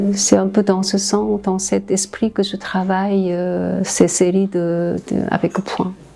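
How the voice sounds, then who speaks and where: A woman is speaking. Her pace is very slow, with noticeable noise behind her. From South Korea. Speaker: visual artist. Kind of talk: interview monologue. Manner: slow, halting.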